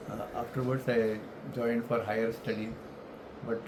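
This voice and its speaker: A man speaks through audible room echo with noticeable background noise around him. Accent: Indian. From India, Mumbai (Maharashtra). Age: 70s. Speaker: retired elevator industry professional. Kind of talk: life story interview. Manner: halting, with many fillers.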